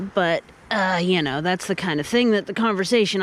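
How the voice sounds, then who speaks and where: Noticeable noise runs through the background. The words come at a fairly quick pace. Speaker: permaculture gardener. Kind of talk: casual talk to camera.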